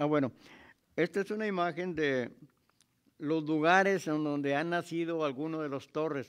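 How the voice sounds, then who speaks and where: A man talks at a moderate pace with fairly even intonation, leaving long, frequent pauses. The background is quiet. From Mexico. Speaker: historian; local historian lecturer. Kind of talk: lecture. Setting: stage with audience. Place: hall. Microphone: studio mic.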